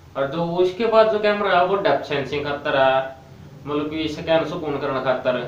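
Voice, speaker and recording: A man speaks in a Haryana accent at a fairly high pitch with ordinary pitch variation. Noticeable background noise is present. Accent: Haryanvi. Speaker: tech reviewer. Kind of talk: casual tech review to camera.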